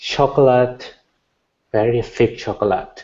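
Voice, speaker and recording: Speaking with a Thai accent, a man keeps a medium pitch and fairly even intonation. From Thailand. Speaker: Buddhist monk, meditation teacher. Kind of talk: meditation Q&A.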